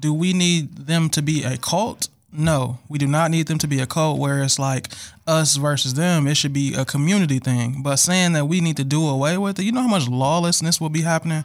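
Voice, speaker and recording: A man with a plain, everyday voice talks in a fairly high pitch with ordinary pitch variation. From Milwaukee, Wisconsin. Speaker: podcast guest. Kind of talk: casual chat.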